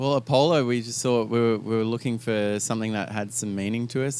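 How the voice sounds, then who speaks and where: With an Australian accent, a man speaks at a medium pitch and fairly quick pace, his intonation fairly even. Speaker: singer in a band. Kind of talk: casual interview. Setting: radio studio in an Airstream trailer.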